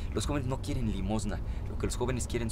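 Noticeable background noise surrounds a man's voice. The sound is dry, with no echo. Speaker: interviewee. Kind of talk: interview answer. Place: car.

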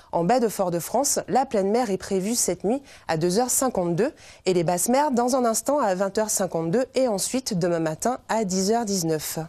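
A woman's dark, mellow voice at a medium pitch, with lively intonation, very even loudness and a very slow pace, over a quiet background. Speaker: TV weather presenter. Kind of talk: TV weather report, read to camera in polished, formal French. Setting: TV studio. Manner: formal; even, measured, steady pace. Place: studio. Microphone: lapel.

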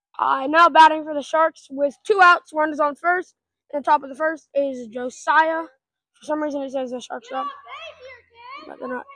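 A woman with a high, raised and projected voice speaks at a moderate pace with ordinary pitch variation, big swings in loudness and long, frequent pauses, the sound dry with no echo. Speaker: wiffle ball league organizer and commentator. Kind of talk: sports commentary. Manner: casual, joking, excitable and a bit scattered. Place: open country. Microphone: phone near.

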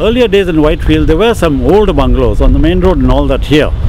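Noticeable background noise surrounds a man's voice in a dry recording with no echo. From Bangalore, India. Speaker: long-term local resident. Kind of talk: oral history interview answer. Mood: reminiscing, relaxed. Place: street.

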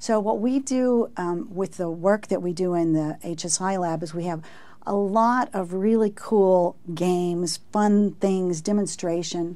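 A woman with an American accent speaks very slowly, her tone dark and mellow, with ordinary pitch variation. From Texas. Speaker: research professor. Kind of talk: interview. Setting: studio. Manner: halting. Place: studio. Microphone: lapel.

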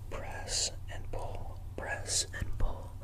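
Very slowly, a man speaks in a whisper. Clear background noise runs underneath. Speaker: ASMR creator. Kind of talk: ASMR role-play, face massage. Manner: soft, slow, soothing.

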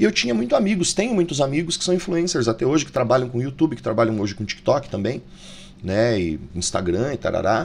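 A man at medium pitch, talking very fast with very wide pitch swings. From Brazil. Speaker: YouTuber, tarot reader and video editor; YouTuber, tarot reader. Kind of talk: casual vlog monologue. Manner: informal, animated. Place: home room. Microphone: studio mic.

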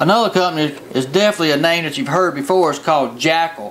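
Talking at a very fast pace with ordinary pitch variation, a man is heard against light background noise. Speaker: fishing show host. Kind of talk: tv show presentation. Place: studio.

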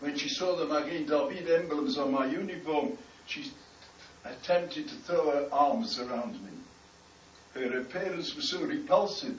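Over light background noise and audible room echo, a high-pitched man talks at a moderate pace with very wide pitch swings and long, frequent pauses. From United Kingdom. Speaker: rabbi, former army chaplain. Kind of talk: personal recollection. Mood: solemn, grave. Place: hall. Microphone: camera far.

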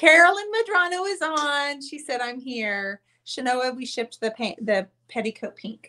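Raising and projecting her high voice, a woman speaks at a moderate pace with hardly any pauses, a bright, sharp tone, very wide pitch swings and big swings in loudness. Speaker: painting artist and channel host; channel host. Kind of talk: live-stream painting show with giveaway. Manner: chatty, warm. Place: home room. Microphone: webcam.

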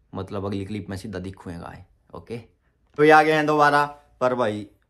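Speaking at a moderate pace, a man lets his pitch vary in an ordinary way while the background stays quiet. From Haryana, Panipat; Haryana. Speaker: vlogger. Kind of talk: Q&A vlog. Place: home room. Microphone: phone near.

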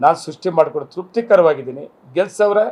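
This man has an unremarkable speaking voice. His pitch is fairly high. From Kolar district, Karnataka (Malur). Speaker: politician, sitting MLA. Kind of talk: press interview statement.

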